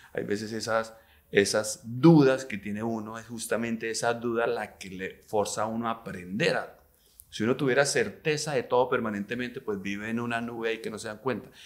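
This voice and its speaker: Over a quiet background, a man of medium pitch speaks at a fairly quick pace with fairly even intonation and big swings in loudness. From Colombia, Neiva (Huila); Colombia. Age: 50s. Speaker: businessman; interview guest. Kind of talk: interview conversation. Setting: hotel. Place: studio. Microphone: studio mic.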